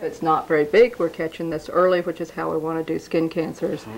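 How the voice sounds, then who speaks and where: A woman speaks in a fairly low pitch with monotone, flat intonation over noticeable background noise. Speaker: doctor. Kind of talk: doctor talking to patient and interview answer.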